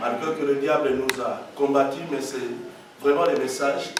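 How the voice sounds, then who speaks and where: Audible room echo and noticeable background noise around a man's fairly slow delivery. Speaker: evangelist preacher. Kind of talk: sermon. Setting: church. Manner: loud. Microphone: no microphone.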